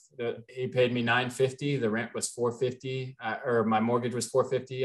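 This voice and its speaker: An ordinary speaking voice from a man with an American accent, medium pitch, fairly even intonation and a moderate pace. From US Midwest, Cincinnati, Ohio. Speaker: multifamily real estate investor. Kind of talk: podcast interview.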